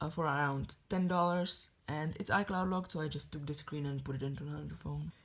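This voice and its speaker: A woman with a non-native accent and a very deep, low pitch, somewhat breathy, at a fairly quick pace with hardly any pauses and fairly even intonation, on a very clean recording with a silent background. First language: not English. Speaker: tech hobbyist YouTuber. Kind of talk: show-and-tell review.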